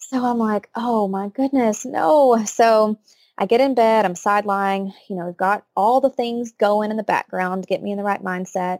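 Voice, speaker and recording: In a very clean recording with a silent background, a woman talks at a moderate pace with fairly even intonation. Her fairly high voice sounds dry and close, with no echo. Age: 20s. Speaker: occupational therapist and new mother. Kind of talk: birth story interview.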